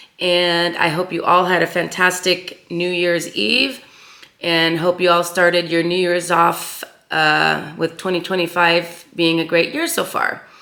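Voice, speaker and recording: Over noticeable background noise, a woman talks fairly slowly in a fairly low voice. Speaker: crafting YouTuber. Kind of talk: casual chat. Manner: hesitant, many fillers.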